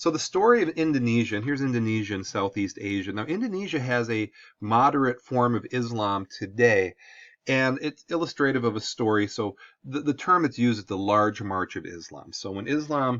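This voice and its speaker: Speaking at a fairly quick pace, a man with a strong Midwestern accent uses lively intonation. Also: medium pitch for a man. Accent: thick Midwestern US. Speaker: high school history teacher. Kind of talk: lecture. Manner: casual, conversational.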